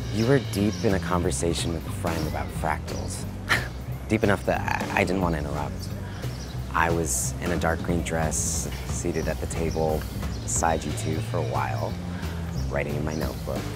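Over loud music in the background, a man talks at a moderate pace in a dry sound with no echo. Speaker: actor performing readings. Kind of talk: dramatic reading of online posts, comedic and earnest. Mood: mock-dramatic, wistful. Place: garden. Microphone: lapel.

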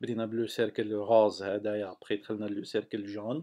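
In a fairly low pitch, a man talks very slowly with monotone, flat intonation. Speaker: software developer, tutorial maker. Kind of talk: tutorial. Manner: halting.

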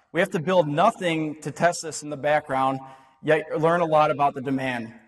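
His pace is fairly quick. The man's pitch shows ordinary variation. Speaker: presenter. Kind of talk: short-format talk to an audience.

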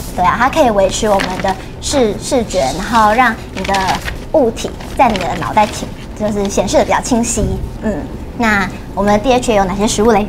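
A woman with fairly high pitch talks at a fairly quick pace with ordinary pitch variation and long, frequent pauses. Noticeable background noise runs beneath her. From Taiwan, Tainan-born, lives in Taipei. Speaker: dietitian. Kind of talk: livestream health talk, casual chat. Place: studio. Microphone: lapel.

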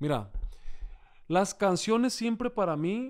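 A man is speaking. The background is quiet. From Sinaloa, Mexico. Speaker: singer and accordionist; interviewee. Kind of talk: casual interview. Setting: hotel room. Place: home room. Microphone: studio mic.

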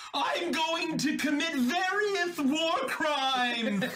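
Amid clear background noise, a man puts on a character voice with an extremely high pitch, speaking at a very slow pace. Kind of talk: comic overacting. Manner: gleeful, shouting.

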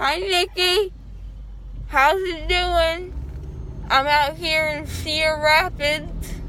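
A woman speaks in a raised, projected voice at a very slow pace. Her intonation is fairly even, with light background noise. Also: dry sound with no echo. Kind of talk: casual vlog chat. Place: car. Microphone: phone near.

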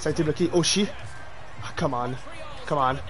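A man talks with ordinary pitch variation against light background noise. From Quebec. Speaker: gaming streamer. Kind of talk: live game streaming with chat; live game commentary. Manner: animated. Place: home room. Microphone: headset.

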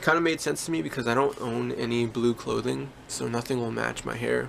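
Light background noise sits behind the voice. The pace is moderate. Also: man. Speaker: musician vlogger. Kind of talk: casual vlog chat. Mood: relaxed, laughing. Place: home room. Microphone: phone near.

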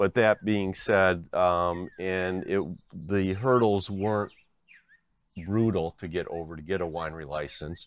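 A man with an American accent, very deep and low in pitch, at a fairly slow pace with fairly even intonation, against a quiet background. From Binghamton, upstate New York. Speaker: retired winery owner, former chemist. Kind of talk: oral history interview.

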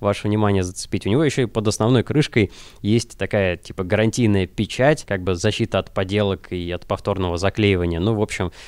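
Speaking at a fast pace, the man has a fairly low pitch.

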